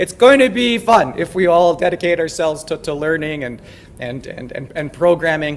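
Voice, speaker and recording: A man with a Canadian accent and a high pitch talks over noticeable background noise. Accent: Canadian, noticeable to local audience. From Canada. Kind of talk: lecture. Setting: lecture hall. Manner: casual, joking.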